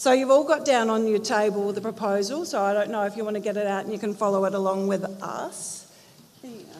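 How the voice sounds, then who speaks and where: A woman with an Australian accent at a medium pitch and fairly quick pace, ordinary pitch variation, big swings in loudness, and noticeable background noise. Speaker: community group presenter. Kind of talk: community meeting presentation.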